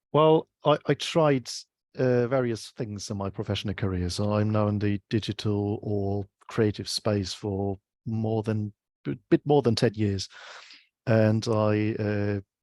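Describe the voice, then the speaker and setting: In a German accent, a man speaks fairly slowly at a fairly low pitch, with ordinary pitch variation. The sound is dry and close with no echo, over a quiet background. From Germany. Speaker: UX researcher. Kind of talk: interview. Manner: halting.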